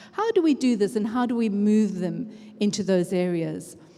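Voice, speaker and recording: Fairly quick, fairly high-pitched speech from a woman amid noticeable background noise. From Africa. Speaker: education researcher and conference speaker. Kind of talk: conference talk. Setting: stage with audience. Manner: conversational.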